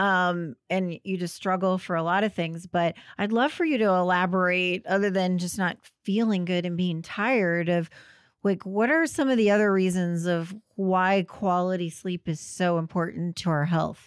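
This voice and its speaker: This woman has an ordinary speaking voice. She talks at a moderate pace, her pitch medium. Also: fairly even intonation. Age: 50s. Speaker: podcast host, gynecologist. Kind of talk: interview conversation.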